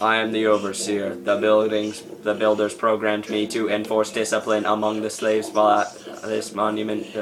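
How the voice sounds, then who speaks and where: Putting on a robotic character voice, a man speaks at a moderate pace with a fairly low pitch against clear background noise. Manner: flat, mechanical.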